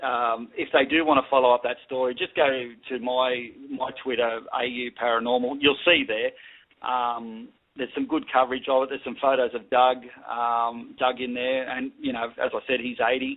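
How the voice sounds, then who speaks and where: Someone with an Australian accent talks at a moderate pace. The intonation is monotone and flat. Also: man, medium pitch for a man. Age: 40s. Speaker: paranormal equipment maker. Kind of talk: radio interview.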